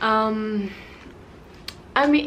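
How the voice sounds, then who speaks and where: A woman with a Spanish accent at a fairly high pitch, with audible room echo and noticeable background noise. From Cuba. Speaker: vlogger. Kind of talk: personal vlog talk. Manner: casual, hesitant with fillers.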